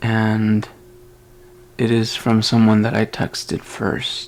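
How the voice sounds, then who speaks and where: Noticeable background noise sits behind a man talking. He has medium pitch and a very slow pace. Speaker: podcaster. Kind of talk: casual monologue. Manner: slow, halting.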